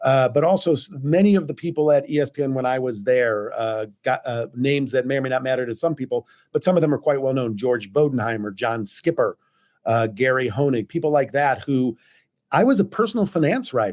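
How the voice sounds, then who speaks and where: A man talks fairly quickly with an American accent. His is an ordinary speaking voice at medium pitch. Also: lively intonation. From US Midwest, St. Louis. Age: 60s. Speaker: journalist and editor. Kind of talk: interview conversation. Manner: conversational with frequent fillers and restarts.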